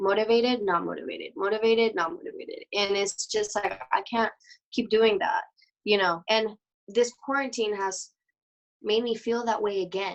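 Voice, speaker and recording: A woman talks with a Mexican accent. Her pitch is fairly high. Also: ordinary pitch variation, moderate pace. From Mexico. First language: Spanish. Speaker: dancer. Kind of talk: interview. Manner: halting.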